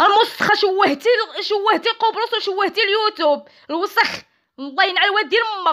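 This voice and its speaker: Raised, projected voice of a woman with a Moroccan accent, extremely high pitch, a bright, sharp tone, ordinary pitch variation and a moderate pace. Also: very even loudness. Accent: Moroccan Arabic (Darija). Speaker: YouTuber. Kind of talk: angry rant video. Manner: heated, shouting insults.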